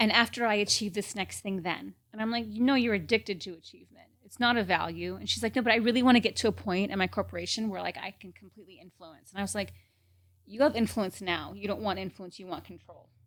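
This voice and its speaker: A woman talks at a very fast pace in a medium pitch, with vocal fry, ordinary pitch variation and big swings in loudness. The recording is very clean, with a silent background. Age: 40s. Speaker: coach and author. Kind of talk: interview conversation.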